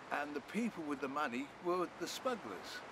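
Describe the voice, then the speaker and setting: The pace is fairly slow, with ordinary pitch variation. Noticeable background noise sits under a dry, echo-free sound. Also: man. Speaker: presenter. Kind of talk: interview answer. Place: beach.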